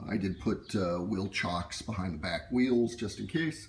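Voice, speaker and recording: A man speaks at a moderate pace. His very deep, low voice is somewhat breathy. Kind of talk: tutorial. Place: garage. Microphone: phone near.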